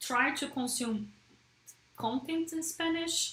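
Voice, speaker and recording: The speaker has a Portuguese accent. The pace is very slow, with lively intonation. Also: woman. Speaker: app developer and livestreamer. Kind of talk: casual livestream chat. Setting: livestream. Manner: hesitant, with fillers and restarts.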